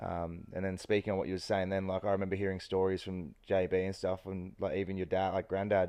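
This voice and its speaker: A man's very fast, very deep and low voice with an Australian accent, flat and monotone, with hardly any pauses. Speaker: surfer, podcast co-host. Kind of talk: casual chat.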